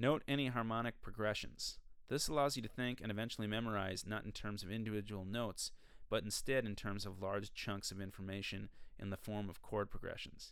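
A man with an American accent, fairly low pitch, fairly even intonation and a fairly quick pace. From Minnesota. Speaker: podcast host, musician and music teacher. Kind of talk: solo educational monologue. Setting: recording studio. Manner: hesitant with fillers and restarts.

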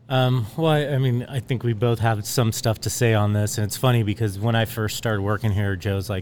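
The pace is moderate. It is an unremarkable speaking voice. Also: man. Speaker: winemaker. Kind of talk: casual chat. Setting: winery, in person.

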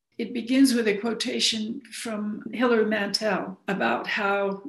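A woman with an American accent speaks at a fairly slow pace and fairly high pitch. Her intonation is fairly even, and the room echo is audible. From US Southwest, Arizona (Phoenix). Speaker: novelist and playwright. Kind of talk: interview.

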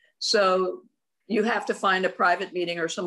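With an American accent, a woman speaks in an ordinary speaking voice at a medium pitch with ordinary pitch variation. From US West (rural Oregon). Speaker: martial arts grandmaster. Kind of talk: interview.

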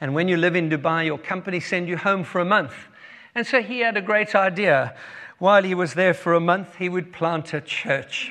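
With a South African accent, a man talks at a moderate pace in a bright, sharp tone, his high pitch moving with ordinary variation. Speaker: guest preacher. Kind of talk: sermon. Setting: church.

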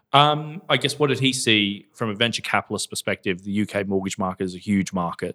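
On a very clean recording with a silent background, a man with an Australian accent and a bright, sharp tone talks at a very fast pace with hardly any pauses in a fairly low pitch, the sound dry and close with no echo. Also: ordinary pitch variation. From Australia, Gold Coast. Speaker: fintech company co-founder and chairman. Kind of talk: interview.

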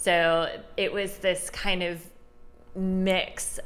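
A woman's voice with audible room echo. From Chicago south suburbs, Illinois. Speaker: gallery director and curator. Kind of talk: casual interview. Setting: art gallery.

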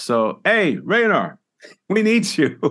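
A man speaks with an American accent and very wide pitch swings. The background is quiet. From Southern California (Los Angeles). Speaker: retired orchestral percussionist. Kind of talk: casual interview. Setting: video call.

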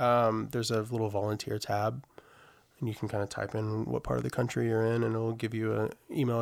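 A man speaks at a fairly quick pace in a normal speaking voice, with fairly low pitch and fairly even intonation. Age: 40s. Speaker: advocacy field director and former touring band musician. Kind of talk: casual interview conversation.

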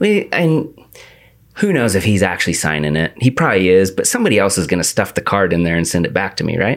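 Speaking at a very fast pace, a man uses lively intonation and a fairly low pitch. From US Pacific Northwest, The Dalles, Oregon. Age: 30s. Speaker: podcast host. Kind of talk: casual chat.

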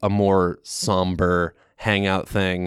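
A man with an American accent is heard in a dry, close sound with no echo on a very clean recording with a silent background. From Maine, US. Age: 20s. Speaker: stand-up comedian. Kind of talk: casual chat.

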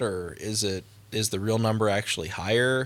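Fairly low in pitch with ordinary pitch variation, a man speaks at a moderate pace in an unremarkable speaking voice. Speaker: church video director. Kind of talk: casual chat.

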